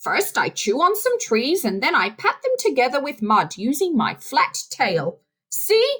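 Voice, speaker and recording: A woman uses a put-on character voice pitched extremely high, with very wide pitch swings. Her loudness is very even and her pace is moderate. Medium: read story.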